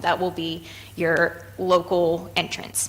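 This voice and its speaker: A woman is heard over noticeable background noise. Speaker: charity representative. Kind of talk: presentation to city committee. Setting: public meeting.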